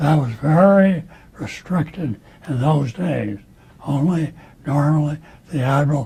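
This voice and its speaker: Pitched fairly high, a man talks at a fairly slow pace with ordinary pitch variation and long, frequent pauses, against noticeable background noise. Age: 80s+. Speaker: retired navy admiral. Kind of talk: interview answer.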